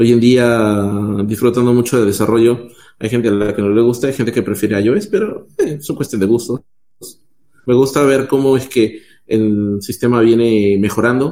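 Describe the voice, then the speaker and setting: A man talks at a moderate pace with fairly even intonation. His medium-pitched voice has a dark, mellow tone. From Peru. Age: 30s. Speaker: software developer.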